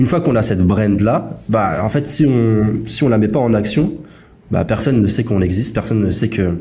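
With audible room echo, a man of fairly low pitch talks at a moderate pace. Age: 20s. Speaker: podcast host, SaaS founder. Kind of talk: casual chat.

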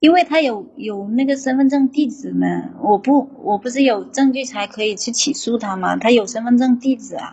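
A woman's high voice at a moderate pace, with hardly any pauses and ordinary pitch variation. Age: 30s. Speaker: factory worker calling in for advice. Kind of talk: advice call-in.

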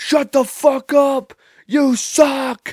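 This is a put-on character voice with a high pitch. It is shouted. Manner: yelling, hostile.

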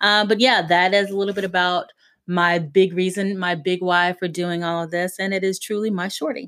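Against a silent background in a very clean recording, a woman of medium pitch speaks in a Southern US accent at a moderate pace with fairly even intonation. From US South, South Carolina. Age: 40s. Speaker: podcast host. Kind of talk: casual monologue.

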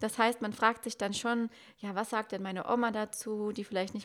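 A woman's medium-pitched voice at a fairly quick pace, monotone and flat in intonation. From Westerwald, western Germany. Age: 20s. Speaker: Instagram marketing mentor. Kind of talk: podcast interview.

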